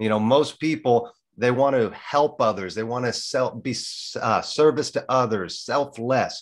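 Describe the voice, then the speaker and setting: Here a man has a plain, everyday voice at a medium pitch. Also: ordinary pitch variation, fairly slow pace. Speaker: podcast host. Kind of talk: interview talk.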